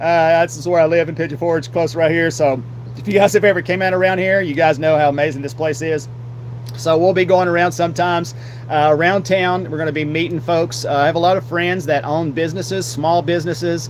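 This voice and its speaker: Speaking at a fairly quick pace in an Appalachian accent, a man uses a fairly high pitch with ordinary pitch variation amid noticeable background noise. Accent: Southern US, Appalachian. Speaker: podcast host and streamer. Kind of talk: live solo podcast talk. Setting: live stream with green screen. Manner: loud; halting, many fillers.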